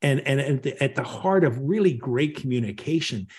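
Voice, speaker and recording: The man's voice sits fairly high and is somewhat breathy. He talks at a fairly quick pace with ordinary pitch variation. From Northern Ireland. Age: 50s. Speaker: leadership communication coach and author. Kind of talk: podcast interview.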